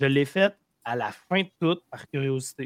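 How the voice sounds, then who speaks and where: A man's plain, everyday voice at a fairly slow pace, with ordinary pitch variation and a dry, close sound with no echo, in a very clean recording over a silent background. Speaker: podcast co-host, gamer. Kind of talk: casual chat.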